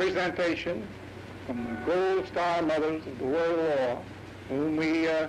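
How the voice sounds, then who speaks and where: Noticeable background noise surrounds a man speaking at a fairly slow pace. His pitch varies in an ordinary way. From Tennessee. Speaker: war veteran. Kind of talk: acceptance speech. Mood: humble, grateful. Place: street. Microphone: old recording.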